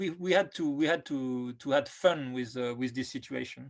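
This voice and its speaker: In a very clean recording with a silent background, a man speaks at a moderate pace with a French accent. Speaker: film director. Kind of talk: interview. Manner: halting, many fillers and repetitions.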